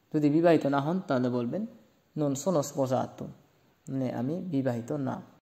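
A man speaks with a dark, mellow tone. Room echo is audible. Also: fairly high pitch for a man, ordinary pitch variation. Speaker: language teacher. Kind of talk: lecture.

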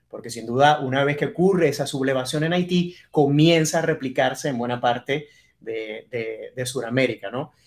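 A man speaks in a normal speaking voice, fairly high in pitch, at a moderate pace. His pitch varies in an ordinary way over a quiet background. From Venezuela, Maracaibo. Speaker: TV journalist. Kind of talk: interview conversation. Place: office.

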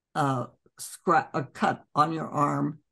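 A woman speaks with a very deep, low pitch and vocal fry. The background is quiet. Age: 80s+. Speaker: doctor. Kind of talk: interview answer. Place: home room. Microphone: video call.

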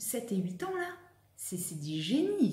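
Her voice carries through the recording. The room echo is audible around it. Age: 30s. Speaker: vlogger and personal development coach; vlogger, personal development coach. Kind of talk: vlog monologue to camera. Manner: animated. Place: home room. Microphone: phone near.

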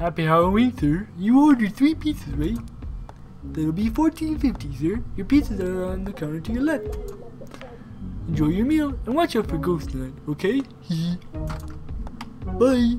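Over clear background noise, a put-on character voice moves at a moderate pace with long, frequent pauses. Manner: silly, goofy.

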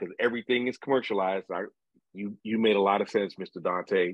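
A man's fairly low voice with fairly even intonation.

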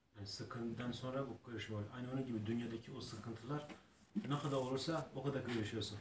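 A man at a fairly quick pace with fairly even intonation, over noticeable background noise. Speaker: student in a religious study circle. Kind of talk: religious lesson discussion. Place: home room.

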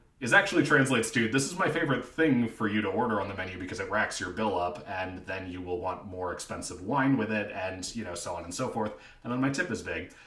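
Audible room echo surrounds a man with a fairly low pitch who speaks at a very fast pace with lively intonation and hardly any pauses. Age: 20s. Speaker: freelance writer and theater teacher. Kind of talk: reality show casting audition talk to camera. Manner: upbeat, playful. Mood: playful, flirty humor. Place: home room. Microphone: webcam.

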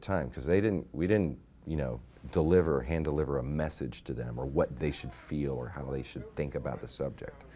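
At a fairly quick pace, a man talks with a very deep, low pitch. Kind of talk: interview answer. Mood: warm, enthusiastic. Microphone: lapel.

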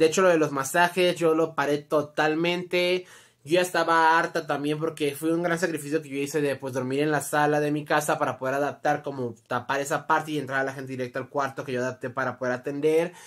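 A woman with a Mexican accent talks in an animated tone at a fairly quick pace with hardly any pauses, her pitch very deep and low, over a quiet background. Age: 20s. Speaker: YouTuber; vlogger. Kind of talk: storytime monologue. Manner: casual, animated. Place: home room. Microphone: phone near.

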